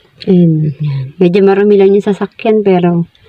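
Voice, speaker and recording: The woman talks fairly slowly with ordinary pitch variation as clear background noise carries on. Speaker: vlogger. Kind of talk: casual vlog narration. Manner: animated.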